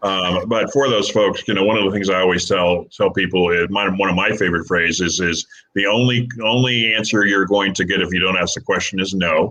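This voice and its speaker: In a normal speaking voice, a man talks at a fairly quick pace and fairly low pitch, with fairly even intonation, very even loudness and hardly any pauses. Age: 60s. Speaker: podcast host. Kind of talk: casual chat.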